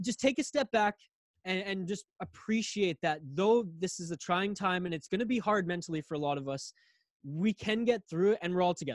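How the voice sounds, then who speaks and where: A man's high-pitched voice at a fairly quick pace, with a western Canadian accent, dry and close with no echo. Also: ordinary pitch variation. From Canada. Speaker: podcast host. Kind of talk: casual chat.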